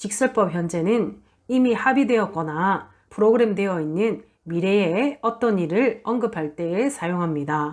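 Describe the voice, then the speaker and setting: In a plain, everyday voice, a woman talks at a fairly slow pace with lively intonation. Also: medium pitch for a woman, very even loudness, very clean recording, silent background. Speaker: Spanish language teacher. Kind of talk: lecture. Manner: formal.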